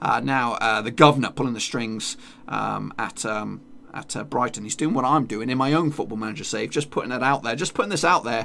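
A man with vocal fry at a fairly quick pace, over light background noise. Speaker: gaming youtuber. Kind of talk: casual gaming commentary.

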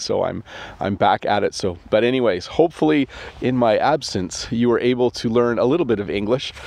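In a Canadian accent, a man speaks at a fairly quick pace with ordinary pitch variation, and the sound is dry with no echo. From Canada. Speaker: English teacher. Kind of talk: casual talk to camera. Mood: warm, friendly. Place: open country. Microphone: phone near.

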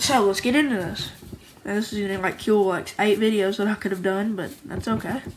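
There is noticeable background noise as a woman talks, her pitch varying in an ordinary way. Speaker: homemade card game creator, YouTuber. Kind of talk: casual show-and-tell video. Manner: casual, rambling filler.

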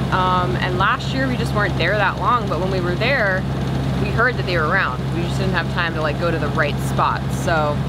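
Loud background noise fills the clip. A woman talks at a moderate pace. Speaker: sailing vlogger. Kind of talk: casual vlog chat. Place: boat. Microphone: camera far.

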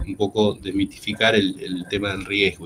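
Male speech against noticeable background noise. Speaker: veterinarian, agricultural researcher. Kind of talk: lecture. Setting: video call. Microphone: video call.

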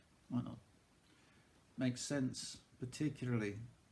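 A man with a fairly high, somewhat breathy voice and a dark, mellow tone speaks with lively intonation. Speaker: church service leader. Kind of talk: fervent prayer, intercession spoken slowly and earnestly to God; evening prayer service, liturgical reading. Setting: church service recorded on video. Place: home room. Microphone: webcam.

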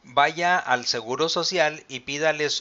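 Speaking in a Mexican accent, a man goes at a very slow pace. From Mexico. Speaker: pension advisor and channel host. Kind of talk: live-stream Q&A and explainer. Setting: live video stream. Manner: formal. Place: home room.

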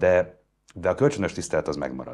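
A man's voice moves in very wide pitch swings. The background is quiet. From Hungary. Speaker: journalist, interviewer. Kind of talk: interview conversation. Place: studio.

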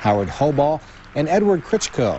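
Noticeable background noise sits behind a man who speaks at a fairly quick pace. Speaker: local TV news anchor. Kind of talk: news reading. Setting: studio.

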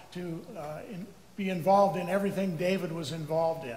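A man speaks at a high pitch with fairly even intonation. Audible room echo and light background noise are present. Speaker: preacher. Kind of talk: sermon. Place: church.

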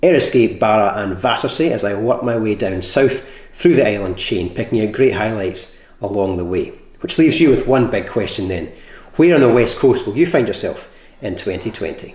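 Audible room echo surrounds a man who speaks at a moderate pace in a somewhat breathy voice. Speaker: presenter. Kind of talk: scripted travel presentation. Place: home room.

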